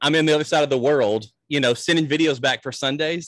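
A man with a Mississippi accent, bright and sharp in tone, at a very fast pace, in a dry, close sound with no echo. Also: quiet background. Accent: Southern US (Mississippi). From US South, Natchez, Mississippi. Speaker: pastor. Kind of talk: casual interview.

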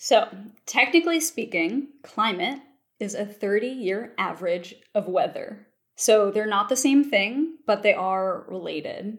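A woman speaks in a plain, everyday voice with an American accent. Her pitch is fairly high, her intonation lively and her pace fairly slow. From US Mid-Atlantic (Baltimore, Maryland). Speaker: paleoclimatologist. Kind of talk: interview.

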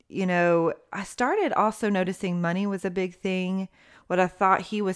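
On a very clean recording with a silent background, a woman with an East Tennessee accent talks at a moderate pace and medium pitch, her intonation monotone and flat. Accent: East Tennessee Southern American. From US South, Knoxville, Tennessee. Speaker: mother sharing her marriage story. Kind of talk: interview testimony.

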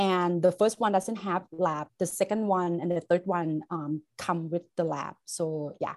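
A woman's fairly low voice with a Thai accent, fairly slow and fairly even in intonation, with hardly any pauses. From Thailand. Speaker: chemistry instructor. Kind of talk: interview. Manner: halting, many fillers.

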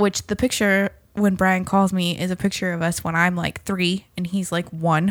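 A woman at medium pitch talks at a moderate pace in a monotone, flat way, with hardly any pauses. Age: 30s. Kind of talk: casual chat.

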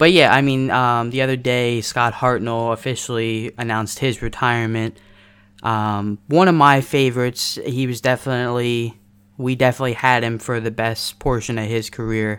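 An ordinary speaking voice, moderate pace and fairly even intonation, on a very clean recording with a silent background. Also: man, medium pitch for a man. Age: 20s. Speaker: podcast co-host, hockey fan. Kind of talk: casual chat.

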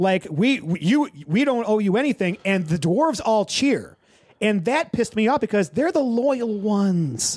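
In a natural reading voice, the intonation is lively.

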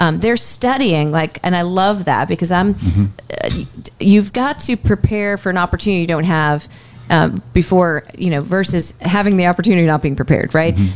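A woman talks at a fairly quick pace with lively intonation and a fairly low pitch. Music plays in the background. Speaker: mortgage lender, co-host. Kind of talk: casual podcast conversation.

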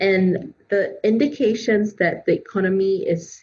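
Very slow and somewhat breathy, this voice has a dark, mellow tone and ordinary pitch variation. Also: woman. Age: 30s. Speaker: career coach. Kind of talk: interview.

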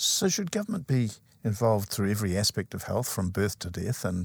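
A man speaks at a moderate pace with a fairly low, somewhat breathy voice and ordinary pitch variation. The recording is very clean, with a silent background. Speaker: interviewer host. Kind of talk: formal interview.

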